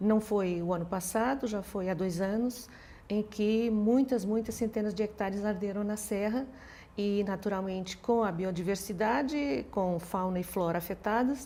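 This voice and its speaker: Speaking at a fairly slow pace, a woman has a medium pitch and ordinary pitch variation. Her tone is dark and mellow. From Portugal. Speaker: law professor. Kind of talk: interview. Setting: studio. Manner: hesitant, many repeated words.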